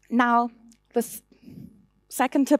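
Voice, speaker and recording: A woman talks with a German accent at a moderate pace. Her pitch is fairly high, and the sound is dry and close with no echo. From Germany. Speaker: conference speaker. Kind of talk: conference talk.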